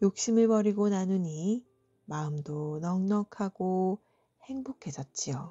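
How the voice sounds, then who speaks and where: Against music in the background, a woman with a medium pitch and a soothing tone speaks very slowly with lively intonation. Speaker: storyteller. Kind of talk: bedtime folktale reading. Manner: soft, soothing.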